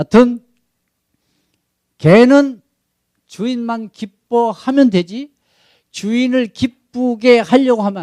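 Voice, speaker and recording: Man with a Jeolla accent, extremely high-pitched for a man, at a very slow pace with long, frequent pauses, big swings in loudness, and a dark, mellow tone in a dry, close sound with no echo. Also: ordinary pitch variation. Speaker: missionary pastor. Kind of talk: sermon. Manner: animated.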